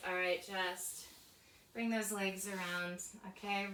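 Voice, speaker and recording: A woman's calm, gentle, medium-pitched voice, very slow and monotone, with audible room echo and noticeable background noise. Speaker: pilates and stretch instructor. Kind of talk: guided workout class. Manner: calm, gentle cueing; soft-spoken.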